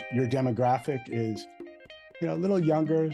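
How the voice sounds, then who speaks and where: Music plays in the background as a man speaks at a medium pitch. His intonation is lively and his pace fairly quick. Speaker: podcast host. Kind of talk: interview question.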